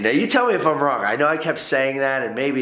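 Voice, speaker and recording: A man speaks at a very fast pace. Room echo is audible around his voice. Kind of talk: casual vlog chat. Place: home room. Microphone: camera far.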